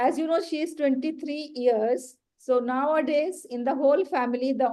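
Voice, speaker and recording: Speaking at a moderate pace with a Pakistani accent, a woman has a high pitch, ordinary pitch variation and a dark, mellow tone. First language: Urdu. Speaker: education trainer and author. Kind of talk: training workshop.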